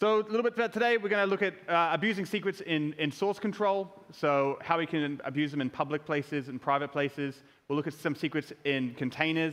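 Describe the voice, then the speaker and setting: In a New Zealand accent, a man with a fairly high pitch talks at a very fast pace with lively intonation. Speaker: security researcher. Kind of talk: conference talk.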